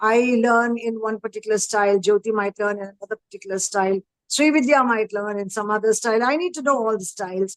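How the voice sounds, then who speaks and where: A woman talks at a fairly quick pace with a Tamil accent, her pitch fairly high with ordinary variation. The sound is dry and close, without echo. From northern India, Himachal Pradesh. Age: 50s. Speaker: educator and parenting coach. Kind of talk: panel discussion. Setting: live stream.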